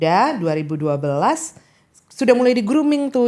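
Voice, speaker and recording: A woman speaks with a slight Makassar accent. Her pace is fairly quick. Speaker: diplomat and state interpreter. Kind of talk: casual interview.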